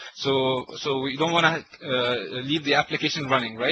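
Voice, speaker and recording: A man's fairly high-pitched, flat monotone over noticeable background noise. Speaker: tech session presenter. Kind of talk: technical webinar presentation. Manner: fast; halting, many fillers and repetitions.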